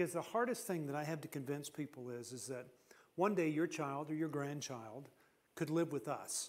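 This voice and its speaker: A man speaks with a fairly high pitch and lively intonation. His pace is moderate. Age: 60s. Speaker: seminar speaker. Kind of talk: seminar talk. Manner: halting.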